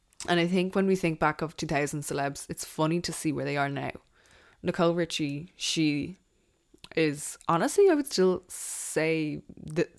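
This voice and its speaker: This very clean recording, with a silent background, features a woman speaking at a moderate pace in a fairly low pitch. Her intonation stays fairly even, and she leaves long, frequent pauses. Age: 20s. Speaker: podcast host. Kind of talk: solo casual chat.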